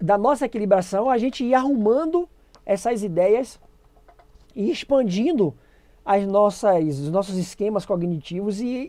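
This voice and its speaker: Her pitch is medium for a woman. She talks at a fairly slow pace with long, frequent pauses. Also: lively intonation. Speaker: educator running a pedagogy channel. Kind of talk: live-streamed lecture.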